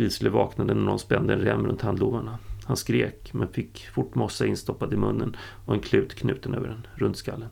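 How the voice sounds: A natural reading voice comes through with fairly even intonation.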